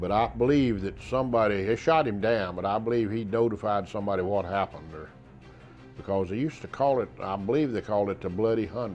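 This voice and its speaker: Speaking very fast in a Southern US accent, the voice is backed by faint music in the background. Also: man, fairly low pitch for a man, ordinary pitch variation. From South Carolina. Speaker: war veteran. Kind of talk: interview answer. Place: studio. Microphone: lapel.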